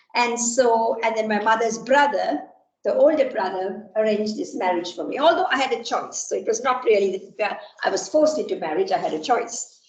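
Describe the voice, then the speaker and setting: The voice makes very wide pitch swings at a fairly quick pace, with audible room echo. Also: woman, fairly high pitch for a woman. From Sri Lanka. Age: 60s. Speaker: computer science professor. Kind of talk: lecture. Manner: halting, many fillers.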